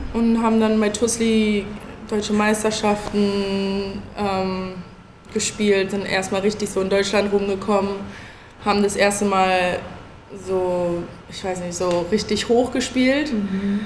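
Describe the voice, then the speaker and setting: The speech moves at a very slow pace with long, frequent pauses and monotone, flat intonation, amid audible room echo and noticeable background noise. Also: woman, medium pitch for a woman. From Berlin. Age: 20s. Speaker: college basketball player. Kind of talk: panel talk before live audience. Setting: event venue with audience.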